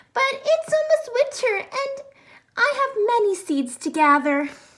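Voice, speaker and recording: A woman puts on a squeaky character voice with an extremely high pitch. She moves at a moderate pace with very wide pitch swings. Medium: read story.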